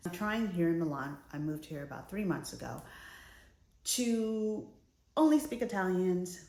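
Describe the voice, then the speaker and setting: A woman with an American accent talks with lively intonation, and some room echo can be heard. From United States. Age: middle-aged. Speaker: lifestyle vlogger. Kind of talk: casual vlog talk to camera. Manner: conversational, some hesitations.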